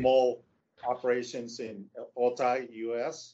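A man speaks with a Spanish accent at a medium pitch. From Mexico, Tijuana. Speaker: logistics executive. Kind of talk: interview. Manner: halting.

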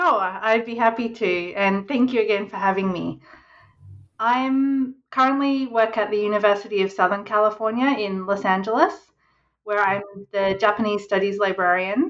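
Her voice is medium in pitch, a woman speaking with an Australian accent. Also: ordinary pitch variation, moderate pace. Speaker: historian and librarian. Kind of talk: interview.

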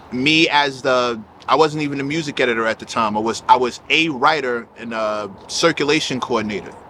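Hardly pausing, a man talks fairly quickly in an ordinary speaking voice at a medium pitch with ordinary variation. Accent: American. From South Jamaica, Queens, New York. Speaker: hip hop writer and label figure. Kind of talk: casual chat.

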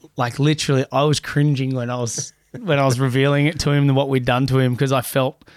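Speaking with an Australian accent at a very fast pace, the voice stays monotone and flat in intonation, with very even loudness. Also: man, medium pitch for a man. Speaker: lifeguard. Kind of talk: casual chat.

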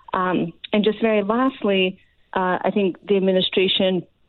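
A woman speaks with an American accent at a moderate pace, in an ordinary speaking voice with medium pitch and ordinary pitch variation. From Ukraine, raised in the US from childhood. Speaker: foreign policy expert. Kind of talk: interview. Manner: frequent filler uh.

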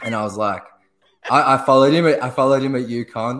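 A man with an Australian accent at a fairly quick pace, in a very clean recording with a silent background. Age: 20s. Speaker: basketball blogger. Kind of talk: casual chat.

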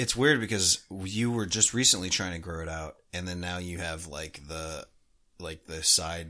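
Slow-paced, a man talks in a very deep, low voice with a bright, sharp tone, vocal fry and lively intonation. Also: very clean recording, silent background. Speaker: hockey podcast co-host. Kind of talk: casual chat.

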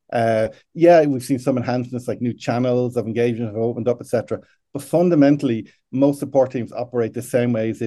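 A man with an Irish accent, medium pitch, ordinary pitch variation and a fairly quick pace. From Ireland. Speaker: customer support executive. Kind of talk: interview.

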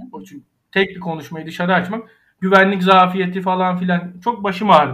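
His voice sits high for a man. He speaks fairly quickly. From Aegean Turkey (Ayvalık). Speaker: architect. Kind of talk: interview.

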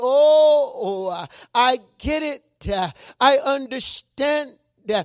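A man with an extremely high pitch and ordinary pitch variation is heard in a dry, close sound with no echo. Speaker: preacher. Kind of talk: sermon. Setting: church with congregation. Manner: frequent filler words like uh and amen.

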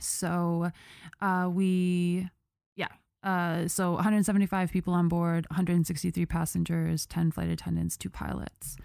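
A woman's dark, mellow voice at a fairly low pitch and very slow pace, in a very clean recording with a silent background. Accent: Buffalo. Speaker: podcast host. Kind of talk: casual storytelling chat. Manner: animated, many fillers.

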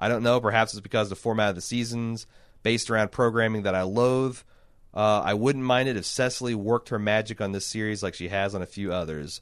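A man with a Midwestern US accent talks at a very fast pace against a quiet background. His pitch is fairly low and his intonation fairly even. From Indiana, US Midwest. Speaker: podcast host. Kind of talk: casual chat.

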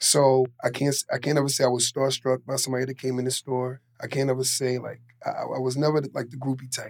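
A man with a New York accent, very fast and flat, monotone in intonation. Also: medium pitch for a man. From New York City (Queens). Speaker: fashion retail worker and clothing line owner. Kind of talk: casual chat.

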